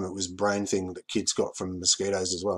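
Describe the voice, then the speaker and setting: The speaker is a man with an Australian accent. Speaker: YouTuber, commentator. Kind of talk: casual monologue video. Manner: halting, many fillers.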